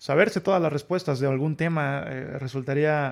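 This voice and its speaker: Fairly high pitch for a man, ordinary pitch variation, a man on a very clean recording with a silent background. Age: 30s. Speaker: fitness and nutrition youtuber. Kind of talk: solo monologue vlog. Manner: hesitant, many fillers.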